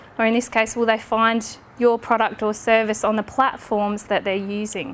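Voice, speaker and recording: A woman speaks in an Australian accent. Her pace is fairly quick. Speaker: social media trainer. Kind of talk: lecture. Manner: fast.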